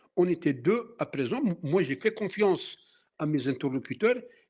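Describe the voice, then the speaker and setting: This man's delivery has lively intonation and a moderate pace. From Algeria (Kabylie). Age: 60s. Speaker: former activist. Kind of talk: interview testimony. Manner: halting.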